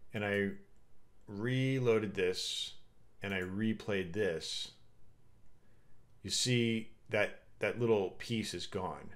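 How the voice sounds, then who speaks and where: A man speaks at a very slow pace, leaving long, frequent pauses. Audible room echo surrounds his voice. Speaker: game developer streamer. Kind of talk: live coding stream. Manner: casual, halting with fillers.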